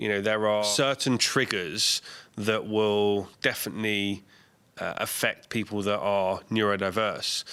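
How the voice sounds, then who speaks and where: Loud and fairly low-pitched, a man speaks in a bright, sharp tone with fairly even intonation. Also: fairly slow pace, very clean recording, silent background. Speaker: podcast host. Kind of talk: podcast interview questions. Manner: outgoing, loud.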